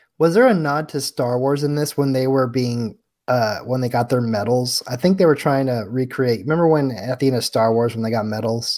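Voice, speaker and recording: A man in a normal speaking voice, medium pitch and ordinary pitch variation, hardly any pauses, on a very clean recording with a silent background. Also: fairly quick pace. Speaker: co-host. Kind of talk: casual chat.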